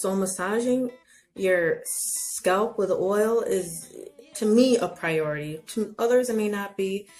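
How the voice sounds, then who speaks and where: Playful in tone, a woman speaks at medium pitch with ordinary pitch variation and a very slow pace. Music plays in the background. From Haitian heritage. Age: 30s. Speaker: natural hair vlogger. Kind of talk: casual talk to camera. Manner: chatty, playful.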